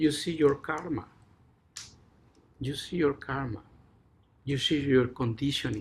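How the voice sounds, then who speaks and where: On a very clean recording with a silent background, a man with a Mexican accent speaks at a fairly slow pace and medium pitch, somewhat breathy, with fairly even intonation. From Mexico. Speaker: Zen teacher. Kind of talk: dharma talk.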